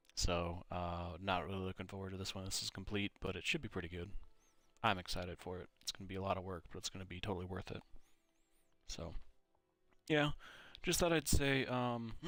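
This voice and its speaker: Music plays in the background as a man with a very deep, low voice and an American accent talks at a fairly quick pace with ordinary pitch variation and long, frequent pauses. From Minnesota, US. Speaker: gaming YouTuber. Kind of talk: casual chat while playing a game. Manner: casual, many fillers.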